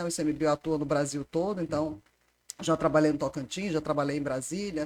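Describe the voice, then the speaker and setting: A woman speaks at a fairly quick pace. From Ceará, Fortaleza (born in Recife). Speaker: environmental agency manager. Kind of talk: casual interview.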